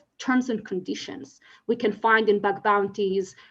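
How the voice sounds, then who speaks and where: A woman speaks with an Israeli accent against a quiet background. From Israel, Tel Aviv. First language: Hebrew. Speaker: legal scholar. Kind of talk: conference talk. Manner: hesitant, many fillers.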